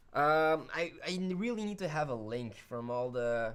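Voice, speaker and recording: Very deep and low for a woman, her voice comes with a Flemish accent. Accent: Flemish Belgian. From Belgium, Flemish part. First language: Dutch (Flemish). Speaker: video editing tutorial host. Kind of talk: live stream chat. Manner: casual, hesitant fillers.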